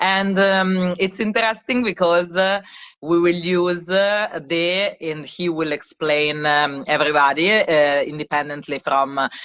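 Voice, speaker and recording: A woman's fairly low voice carries ordinary pitch variation as she talks at a fairly slow pace. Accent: Italian. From Italy, Milan. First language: Italian. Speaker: service designer and live co-host. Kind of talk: casual live-stream chat. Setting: social media live stream. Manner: hesitant, many fillers.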